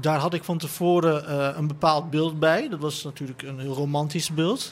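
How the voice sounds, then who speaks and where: A man at a moderate pace, fairly high-pitched with fairly even intonation, over noticeable background noise. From Netherlands, son of migrant worker. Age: 30s. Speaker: writer and columnist. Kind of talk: panel discussion. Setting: live event at a festival.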